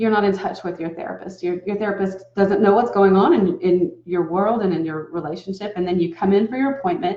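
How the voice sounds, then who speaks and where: A woman's medium-pitched voice with an American accent, a fairly quick pace and ordinary pitch variation. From US South. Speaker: relationship coach. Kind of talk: talking-head advice video. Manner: casual, conversational.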